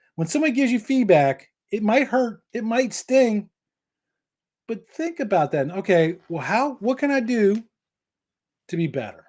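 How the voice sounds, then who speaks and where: The recording is very clean, with a silent background. A man talks in a high pitch. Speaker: cabling industry trainer and show host. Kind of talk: live Q&A advice show. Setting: live stream broadcast. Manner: fast.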